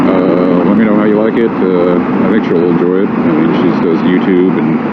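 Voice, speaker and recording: Over noticeable background noise and audible room echo, a man speaks at a moderate pace in a very deep, low voice, with fairly even intonation and very even loudness. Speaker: motorcycle vlogger. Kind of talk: casual vlog narration while riding. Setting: riding motorcycle, inside helmet. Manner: low-talking, not loud.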